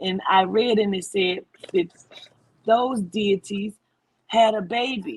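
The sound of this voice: At a slow pace, a woman speaks with medium pitch, ordinary pitch variation and a slightly husky edge.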